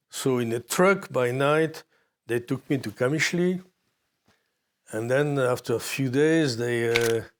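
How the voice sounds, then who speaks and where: A medium-pitched man with a French accent and ordinary pitch variation, in a very clean recording with a silent background. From Morocco. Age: 80s+. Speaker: war photojournalist. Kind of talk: interview testimony. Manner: halting.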